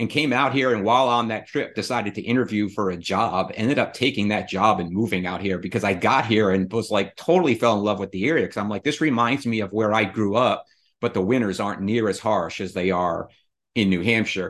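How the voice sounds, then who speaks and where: Against a quiet background, a man with an American accent speaks fairly quickly in a plain, everyday voice, his pitch fairly low with ordinary variation. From Rhode Island, US Northeast. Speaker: real estate investor. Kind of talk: casual chat.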